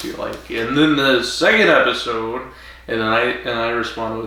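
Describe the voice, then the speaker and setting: A man with an American accent at a fairly slow pace, with ordinary pitch variation, noticeable background noise and audible room echo. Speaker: podcast co-host. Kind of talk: casual chat. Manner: mumbles when drinking. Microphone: quiet, projecting away from mic.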